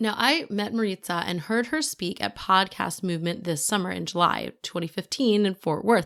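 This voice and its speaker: A woman at medium pitch with vocal fry and lively intonation, moderate pace and hardly any pauses, in a very clean recording with a silent background. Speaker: podcast host. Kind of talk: podcast intro. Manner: animated.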